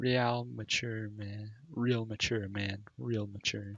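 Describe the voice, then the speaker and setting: A man uses a whiny, put-on character voice at a fairly low pitch. He speaks at a very slow pace with fairly even intonation. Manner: mocking, taunting.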